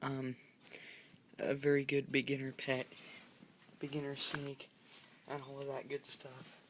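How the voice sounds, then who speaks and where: A soft-spoken man with a bright, sharp tone and a fairly high pitch. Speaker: pet owner vlogger. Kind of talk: casual video demonstration. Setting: at home late at night.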